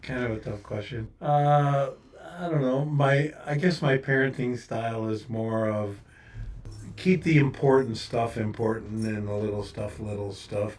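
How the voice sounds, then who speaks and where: Music plays behind a speaker who talks fairly slowly. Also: man. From upstate New York. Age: 70s. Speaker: retired-then-returned MRI engineer, father. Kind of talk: casual chat. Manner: halting, repeats words.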